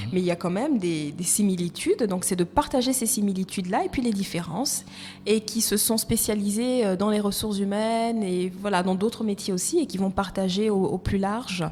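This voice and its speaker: Somewhat breathy, a woman's voice has a dark, mellow tone at a medium pitch with ordinary pitch variation. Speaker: HR and recruitment consultant. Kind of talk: casual interview. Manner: fast.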